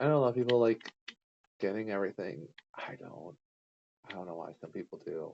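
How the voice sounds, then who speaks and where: A man speaks quietly at a fairly low pitch. His pitch varies in an ordinary way. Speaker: gaming streamer. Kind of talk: casual let's-play commentary. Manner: hesitant, many fillers. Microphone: too quiet.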